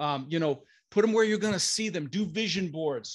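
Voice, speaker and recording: A man talks at a fairly quick pace in an animated tone, with a high pitch and ordinary pitch variation. The background is quiet. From Denver, Colorado, US (immigrated from Netherlands at six). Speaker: real estate investor. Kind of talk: interview.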